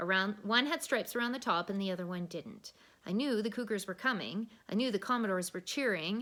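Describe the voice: Someone does plain reading aloud. Pitch rises and falls an ordinary amount.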